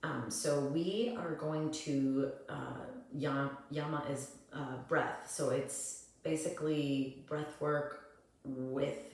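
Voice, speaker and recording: Over noticeable background noise and audible room echo, a woman speaks in a very deep, low pitch with fairly even intonation. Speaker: yoga and breathwork teacher. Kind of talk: tutorial. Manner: halting.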